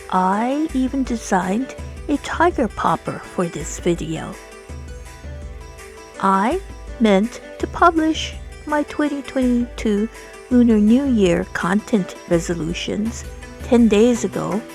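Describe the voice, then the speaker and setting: With music in the background, a woman talks at a very slow pace, leaving long, frequent pauses. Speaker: gaming video creator. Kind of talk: video game narration.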